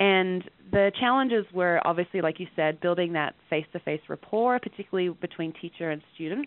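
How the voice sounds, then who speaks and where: With an Australian accent, the speaker talks at a fairly quick pace and uses ordinary pitch variation. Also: woman, fairly low pitch for a woman. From rural Western Australia. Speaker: education professor and researcher. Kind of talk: interview.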